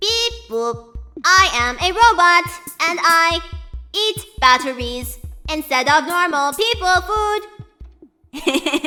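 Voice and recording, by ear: In a put-on character voice, a woman speaks at an extremely high pitch, raised and projected. She goes very slowly with long, frequent pauses, and faint music plays in the background.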